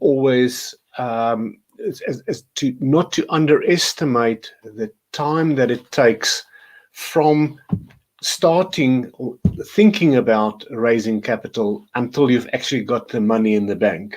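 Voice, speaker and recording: Very slowly, a man gets his words out, his pitch moving with ordinary variation. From South Africa. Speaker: business consultant. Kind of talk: interview. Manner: halting, many fillers.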